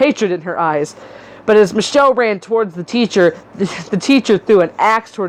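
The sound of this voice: The delivery is an unforced reading voice.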